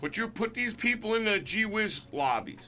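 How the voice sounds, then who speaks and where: With music playing behind him, a man raises and projects his high voice, keeping a moderate pace. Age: 60s. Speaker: gaming commentator. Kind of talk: opinion rant. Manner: animated; halting.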